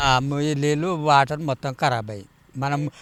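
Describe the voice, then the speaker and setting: A man's voice with a bright, sharp tone. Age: old. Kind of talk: interview answer. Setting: outdoors.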